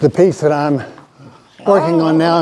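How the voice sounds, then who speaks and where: A man with an American accent talks at a moderate pace in a fairly high pitch. Noticeable background noise runs behind him. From Texas, Irving. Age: 70s. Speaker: artist. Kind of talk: presentation to an audience. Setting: arts center talk with live audience. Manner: casual, self-deprecating.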